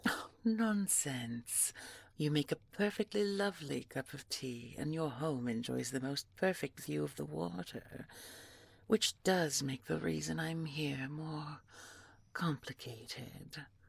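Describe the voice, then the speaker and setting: Putting on a character voice, a woman speaks fairly slowly at a very deep, low pitch. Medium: audio drama. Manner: polite, slow, measured.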